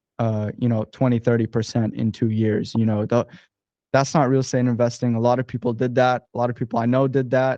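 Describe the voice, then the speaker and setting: Music plays in the background as a man speaks at medium pitch and a fairly quick pace. His intonation is monotone and flat, with very even loudness. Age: 20s. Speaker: real estate investor. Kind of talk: interview. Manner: casual.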